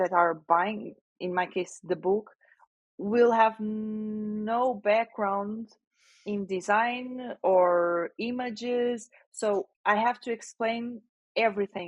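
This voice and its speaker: A woman with a non-native accent speaks very slowly in a fairly high voice. Her intonation stays fairly even. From Portugal. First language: Portuguese. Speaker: generative AI specialist and author. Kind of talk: interview answer. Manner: halting, with hesitations.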